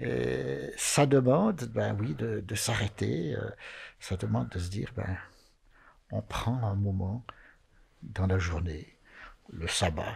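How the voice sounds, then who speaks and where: Very slowly and with long, frequent pauses, a man speaks in a very deep, low pitch with vocal fry. His pitch swings very widely. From Valais, Switzerland (Chablais); Valais, Switzerland. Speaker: Sabbath school leader; panelist. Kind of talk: Bible study discussion. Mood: earnest, reflective. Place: studio. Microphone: studio mic.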